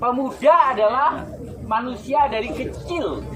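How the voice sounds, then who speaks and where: Music plays in the background while the speech moves at a very slow pace. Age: 70s. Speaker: speaker at youth pledge commemoration. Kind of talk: public speech. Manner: animated.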